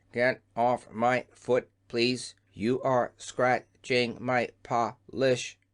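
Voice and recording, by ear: A man puts on a robotic character voice at medium pitch. His delivery is monotone and flat, at a very slow pace.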